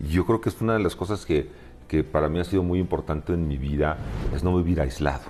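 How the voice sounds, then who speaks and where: In a very deep, low voice with a dark, mellow tone, a man speaks very fast. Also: ordinary pitch variation. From Mexico City (Coyoacán). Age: 60s. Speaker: open-water swimmer. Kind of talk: interview. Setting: at his home. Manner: halting, many fillers.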